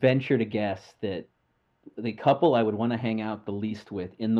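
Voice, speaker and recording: Here is an unremarkable speaking voice at a moderate pace with ordinary pitch variation. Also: man. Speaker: podcast host. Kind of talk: casual chat.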